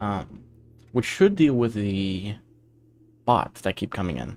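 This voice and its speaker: A soft-spoken man talks in a fairly low pitch with an American accent. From USA. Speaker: streamer and indie game developer. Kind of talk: casual live stream chat. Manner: halting, many fillers.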